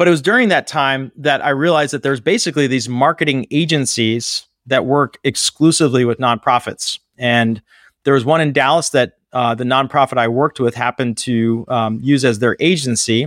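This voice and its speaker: A man's ordinary speaking voice at a medium pitch and moderate pace, ordinary pitch variation, a dry, close sound with no echo, very clean recording, silent background. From Pittsburgh, Pennsylvania, US. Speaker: nonprofit fundraising consultancy founder. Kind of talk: casual interview.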